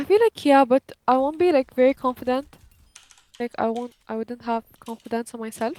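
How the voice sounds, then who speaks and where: Her pitch is high for a woman, with ordinary variation, and the sound is dry and close with no echo. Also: moderate pace. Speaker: gamer. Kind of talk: casual chat.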